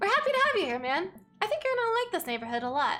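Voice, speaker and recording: Putting on a squeaky character voice, a woman speaks very fast at an extremely high pitch with very wide pitch swings. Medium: game stream.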